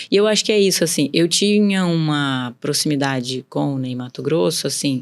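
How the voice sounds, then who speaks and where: A woman's very deep, low voice with lively intonation at a moderate pace. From interior of São Paulo state, Brazil. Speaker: businesswoman. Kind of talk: podcast interview.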